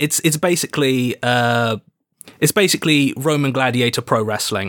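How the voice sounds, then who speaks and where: This man speaks with a British accent at medium pitch and a moderate pace, with ordinary pitch variation and a dry, close sound with no echo. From Britain. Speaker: game designer. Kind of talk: casual chat while playing a tabletop RPG.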